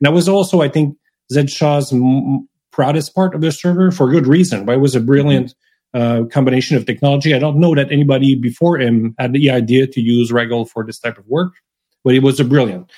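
A man talks at a very fast pace with a dark, mellow tone and a fairly high pitch. His loudness swings widely while his pitch varies in an ordinary way. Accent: Quebec. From Quebec, Montreal. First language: French. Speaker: software developer. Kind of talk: casual technical interview.

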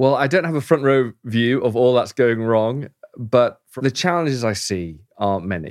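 With an English accent, a man speaks at a moderate pace in a medium pitch, using lively intonation. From England. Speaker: pastor. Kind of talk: casual interview.

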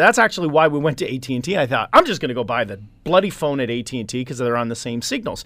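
A man speaks with a Canadian accent. His tone is bright and sharp. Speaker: tech columnist and marketing company CEO. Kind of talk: casual radio chat. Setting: radio studio.

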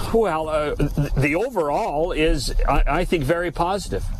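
A fairly high-pitched man with a Canadian accent and ordinary pitch variation, amid noticeable background noise. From Western Canada, BC Okanagan. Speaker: hockey insider. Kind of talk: radio interview.

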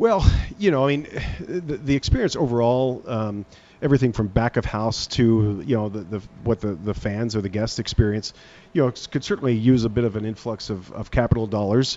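A man with an American accent has an ordinary speaking voice, medium pitch and ordinary pitch variation. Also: fairly quick pace. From United States. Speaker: arena general manager. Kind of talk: radio interview. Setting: on location remote broadcast.

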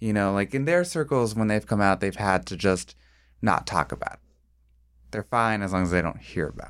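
A man with a normal speaking voice talks at a fairly quick pace in a fairly low pitch with lively intonation. The recording is very clean, with a silent background. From small-town Ohio. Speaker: TV production worker. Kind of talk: casual chat. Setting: studio.

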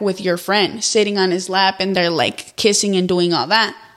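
Speech comes at a moderate pace in a monotone, flat intonation. Noticeable background noise sits behind it. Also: woman. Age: young. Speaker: YouTuber and TikTok creator. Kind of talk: casual interview chat.

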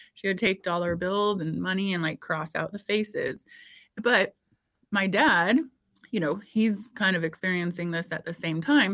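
A woman with an American accent, an ordinary speaking voice, medium pitch, ordinary pitch variation, and a moderate pace. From Indiana, US Midwest. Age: 40s. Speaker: podcast host and former fitness trainer. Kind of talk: casual interview chat.

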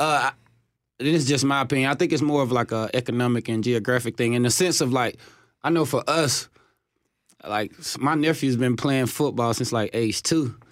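A man with a Southern US accent and medium pitch, fairly even intonation, very even loudness and long, frequent pauses, on a very clean recording with a silent background. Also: moderate pace. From US South, Chattanooga, Tennessee. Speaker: professional football player. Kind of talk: radio interview. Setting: studio.

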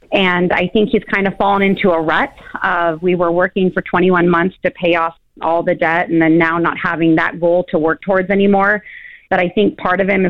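With an American accent, a woman speaks in a normal speaking voice at a fairly low pitch and a moderate pace. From California. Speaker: caller, sales worker. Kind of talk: phone call advice. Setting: phone call.

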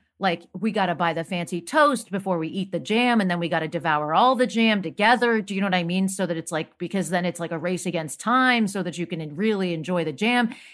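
With an ordinary speaking voice, a woman talks at a fairly quick pace with hardly any pauses, a medium pitch and ordinary pitch variation, on a very clean recording with a silent background. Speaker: panelist. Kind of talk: panel discussion.

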